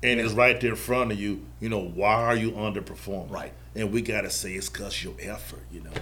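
The speaker talks at a fairly quick pace in a North Carolina accent, with hardly any pauses. Intonation is lively, loudness swings widely, and room echo is audible. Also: man, fairly low pitch for a man. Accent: US Southern (North Carolina). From Charlotte, North Carolina. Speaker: youth basketball organization staff. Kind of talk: casual interview.

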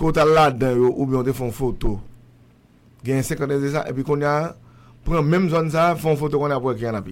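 Talking at a very fast pace yet with long, frequent pauses, a man keeps a fairly high pitch and fairly even intonation. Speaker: radio show host. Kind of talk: casual chat.

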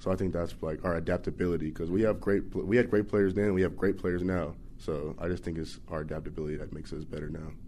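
With an American accent, a man rattles along at a very fast pace with hardly any pauses, his very deep voice dark and mellow. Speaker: college football player. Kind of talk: interview.

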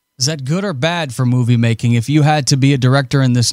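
A man with an American accent at a medium pitch. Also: very clean recording, silent background. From US. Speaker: show host. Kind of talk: interview. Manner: enthusiastic.

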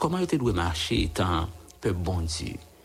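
A man's very deep, low voice with a Haitian accent, over music in the background. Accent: Haitian Creole-accented French. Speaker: radio prayer host. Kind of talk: radio prayer and devotional talk. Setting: radio studio. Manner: halting.

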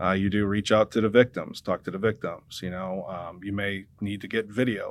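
With an American accent and an ordinary speaking voice, a man talks at a moderate pace with ordinary pitch variation. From US Midwest. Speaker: police civilian investigator, retired police officer. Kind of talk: radio interview.

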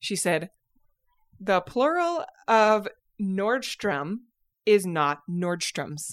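In a Utah accent, the speaker uses lively intonation at a very slow pace with long, frequent pauses on a very clean recording with a silent background. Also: woman, medium pitch for a woman. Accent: Utah American. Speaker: podcast host. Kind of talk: casual chat.

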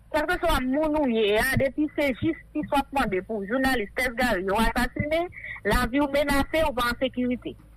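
Very even loudness at a moderate pace, with noticeable background noise. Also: woman, high pitch for a woman, ordinary pitch variation. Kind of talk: radio interview.

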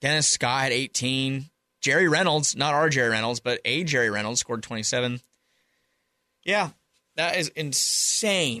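Against a quiet background, a man with an American accent speaks at a fairly slow pace with a fairly high pitch, a bright, sharp tone, ordinary pitch variation, very even loudness, long and frequent pauses, and a dry, close sound with no echo. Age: 20s. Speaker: sports podcast co-host. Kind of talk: casual chat. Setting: studio.

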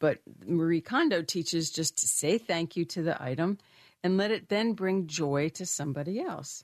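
A woman's normal speaking voice, fairly low in pitch with ordinary pitch variation, at a moderate pace, dry and close with no echo over a quiet background. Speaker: financial firm founder and wellness expert. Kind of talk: casual chat. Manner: warm, chatty, friendly.

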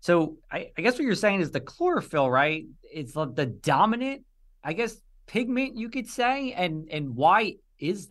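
A man talks at a high pitch with very wide pitch swings. His loudness rises and falls sharply. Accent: New Jersey. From New Jersey (Union). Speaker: meteorologist, podcast co-host. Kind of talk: interview.

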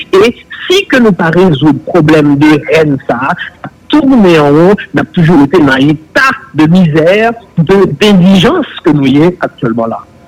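There is noticeable background noise behind this man. He talks at a high pitch and a fairly slow pace. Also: lively intonation. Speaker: public official on investigative body. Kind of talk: political talk show discussion.

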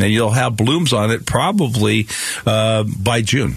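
A man with an American accent and ordinary pitch variation over noticeable background noise. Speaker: radio garden show host. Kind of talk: call-in radio show. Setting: studio. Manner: relaxed, uses many fillers.

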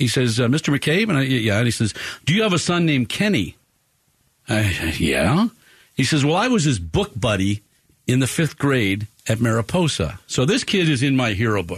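With very even loudness and very wide pitch swings, a man talks at a medium pitch and moderate pace in a somewhat breathy voice over a quiet background. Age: 60s. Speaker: radio sports show host. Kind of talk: live radio talk show. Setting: radio studio.

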